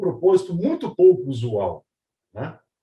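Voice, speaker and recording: A man speaks in a dark, mellow tone that comes across somewhat breathy. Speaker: panel moderator, R&D director. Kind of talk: moderated webinar introduction.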